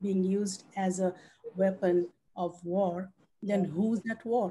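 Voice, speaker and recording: There's light background noise as a woman speaks at a very slow pace. Her somewhat breathy, dark, mellow voice stays monotone and flat. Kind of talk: panel discussion remarks. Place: home room. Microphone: video call.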